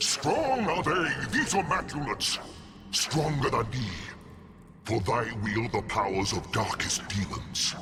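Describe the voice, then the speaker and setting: A man's put-on character voice at medium pitch, fairly slow and very even in loudness, with very wide pitch swings over clear background noise. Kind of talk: archaic theatrical villain speech. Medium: machinima. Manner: grandiose, scornful.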